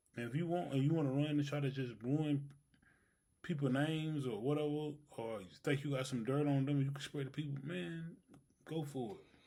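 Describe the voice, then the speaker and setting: In a room with audible echo, a man talks fairly quickly in a fairly high voice with ordinary pitch variation. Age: 30s. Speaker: podcast co-host. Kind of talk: casual chat.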